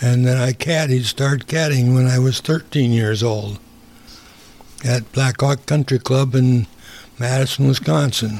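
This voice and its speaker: A man with a medium pitch talks at a fairly slow pace in a somewhat breathy voice. His intonation is fairly even and his loudness very even. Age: 80s. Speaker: retired worker, host's father. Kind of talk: casual interview.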